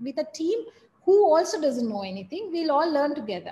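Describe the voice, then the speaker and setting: The voice belongs to a woman. Her tone is dark and mellow. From Sri Lanka. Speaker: business executive; guest. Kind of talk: guest talk to MBA class. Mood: reflective, candid.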